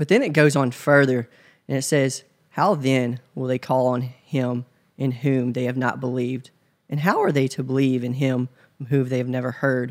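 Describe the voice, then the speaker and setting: A man's medium-pitched voice with a Tennessee accent at a moderate pace, fairly even in intonation, in a very clean recording with a silent background. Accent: US Southern (Tennessee). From West Tennessee, small town near Memphis. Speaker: church member. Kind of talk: interview. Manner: hesitant, many fillers.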